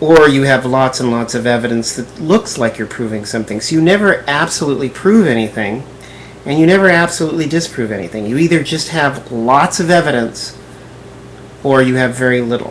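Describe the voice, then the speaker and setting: Despite noticeable background noise, a man with a medium pitch talks at a fairly quick pace with lively intonation. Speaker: video blogger. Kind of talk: response video monologue.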